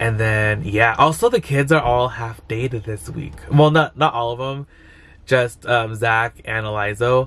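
A man speaks, his pitch varying in an ordinary way. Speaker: vlogger. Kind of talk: casual vlog chat. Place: car. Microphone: phone near.

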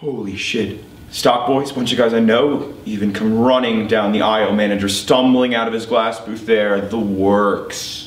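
A man talks at a fairly slow pace with fairly even intonation. Audible room echo surrounds his voice. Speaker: actor performing monologue. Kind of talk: dramatic monologue. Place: stage.

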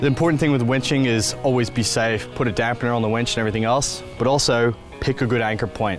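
A man at a very fast pace with hardly any pauses, very even loudness and ordinary pitch variation, the sound dry with no echo and clear music in the background. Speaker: travel show host. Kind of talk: tutorial. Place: open country.

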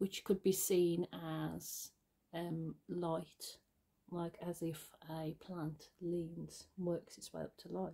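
Over a quiet background, a woman speaks very slowly at a fairly low pitch, her tone dark and mellow and her intonation monotone and flat. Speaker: artist. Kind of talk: casual talk to camera. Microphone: phone near.

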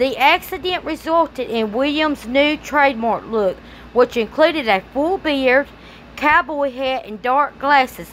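In a Southern US accent, a woman speaks fairly slowly with a high pitch and lively intonation. Background noise is noticeable. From Louisiana. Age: 30s. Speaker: YouTuber. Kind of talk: casual commentary and reading aloud. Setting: home recording for video channel. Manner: rambling, conversational.

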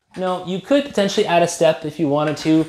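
A man's high-pitched voice at a fairly quick pace, with ordinary pitch variation and audible room echo. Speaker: badminton coach. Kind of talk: tutorial. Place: home room. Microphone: camera far.

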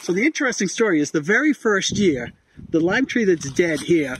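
Speaking fairly quickly with an American accent, a man with a high-pitched voice comes through dry with no echo over light background noise. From US. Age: 60s. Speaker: retired expat farmer, former marine; interviewee. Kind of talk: casual interview. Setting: outdoors on a farm. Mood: happy, enthusiastic. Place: garden. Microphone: phone near.

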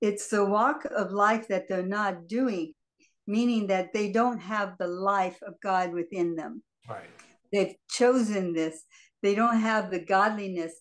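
A woman speaks at a fairly slow pace. Her pitch varies in an ordinary way. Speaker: Bible study participant. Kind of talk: reading aloud and discussion. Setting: video call. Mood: earnest, reflective. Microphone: video call.

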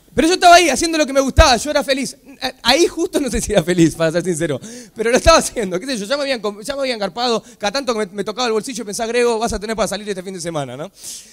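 At a very fast pace, a man talks in an extremely high voice. His tone is animated, with very wide pitch swings. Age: 20s. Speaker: comedian. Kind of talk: motivational talk.

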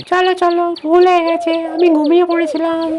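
A cartoonish character voice, female-sounding and extremely high in pitch, monotone and flat at a moderate pace, with clear background noise.

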